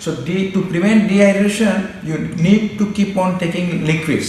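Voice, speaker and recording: Speaking at a moderate pace, a man is heard amid noticeable background noise and audible room echo. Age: 60s. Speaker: doctor. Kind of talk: personal testimony. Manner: halting.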